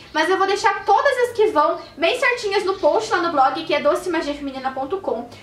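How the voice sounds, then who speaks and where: Extremely high female voice at a moderate pace with hardly any pauses and very wide pitch swings, in audible room echo. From Curitiba, southern Brazil; Paraná, Brazil. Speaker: beauty blogger and YouTuber; beauty blogger. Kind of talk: casual vlog announcement. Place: home room. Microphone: camera far.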